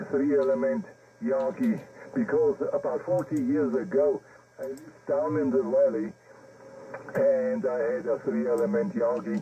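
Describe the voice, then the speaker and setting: Over noticeable background noise, a man speaks with a German accent. He goes at a fairly slow pace with long, frequent pauses. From Germany. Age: 70s. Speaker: amateur radio operator. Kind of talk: radio contact chat. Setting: amateur radio transmission. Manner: halting.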